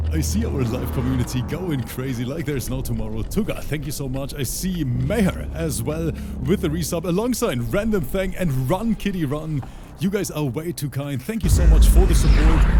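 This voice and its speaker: Music plays in the background as a man with a German accent speaks at a moderate pace. Audible echo fills the room. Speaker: esports commentator. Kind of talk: live commentary. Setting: livestream. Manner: animated.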